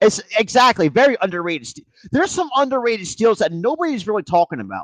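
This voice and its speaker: A man with an American accent, high-pitched, very fast, with very wide pitch swings, big shifts in loudness and a dry, close sound without echo. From New Jersey. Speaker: sports podcaster doing live play-by-play. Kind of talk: live play-by-play commentary stream. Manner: fast, with words running together; halting, many restarts and fillers.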